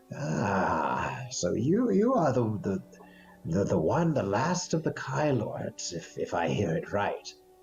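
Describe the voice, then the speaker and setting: A shaky, put-on character voice from a man at medium pitch, fairly slow, with very wide pitch swings. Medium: actual play. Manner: hesitant, stammering.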